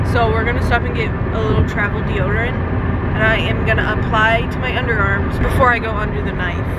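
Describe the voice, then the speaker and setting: A woman at a very fast pace, dry sound with no echo, loud background noise behind her. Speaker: vlogger. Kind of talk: casual vlog chat. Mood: playful, slightly anxious. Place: car. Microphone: phone near.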